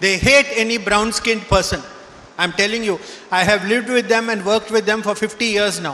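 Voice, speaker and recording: A man talks in a raised, projected voice at a high pitch and a fairly quick pace. His intonation is fairly even, with noticeable background noise around him. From southern India, Karnataka. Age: 70s. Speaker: professor. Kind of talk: speech to graduating students.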